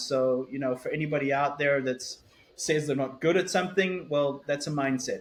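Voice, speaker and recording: A man with an American accent speaks at a fairly quick pace and a fairly high pitch. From South Africa. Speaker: author and keynote speaker. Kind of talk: interview conversation. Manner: halting, many fillers and repetitions.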